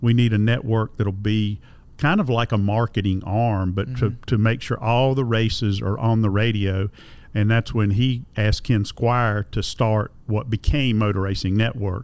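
A man with a North Carolina accent, fairly low in pitch, at a moderate pace with fairly even intonation and very even loudness. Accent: Southern US (North Carolina). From US South, Concord, North Carolina. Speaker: motorsport radio broadcaster and museum director. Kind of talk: casual interview chat. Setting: on location at a museum.

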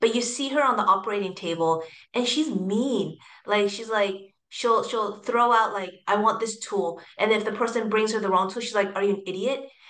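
With a Californian accent, a woman talks at a moderate pace and fairly high pitch, with ordinary pitch variation and audible room echo. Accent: Californian American English. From US West Coast, San Francisco Bay Area. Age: 40s. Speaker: hospitality real estate executive. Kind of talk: interview.

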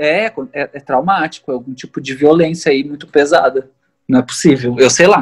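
Dry and close with no echo, a man's normal speaking voice sits at a fairly high pitch, moving at a moderate pace with ordinary pitch variation. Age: 30s. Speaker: singer, multi-instrumentalist and illustrator. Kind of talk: casual interview conversation.

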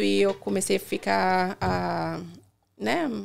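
A woman's voice on a very clean recording with a silent background. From Brazil, Salvador (Bahia). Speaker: dentist. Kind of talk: casual interview.

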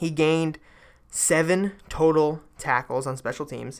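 A man talks at a medium pitch with ordinary pitch variation. The recording is very clean and the background silent. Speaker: sports podcast host. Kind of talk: solo sports commentary podcast. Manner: fast; filler-heavy, casual.

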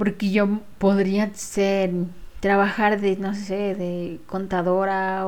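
Very slow speech from a woman with a dark, mellow tone at medium pitch. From Ecuador, Quito. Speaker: spiritual healer. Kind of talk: casual monologue. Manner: hesitant, with fillers.

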